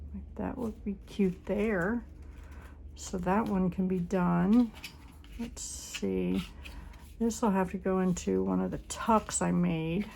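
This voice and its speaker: A woman's very slow speech broken by long, frequent pauses. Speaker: crafting channel host. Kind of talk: crafting tutorial.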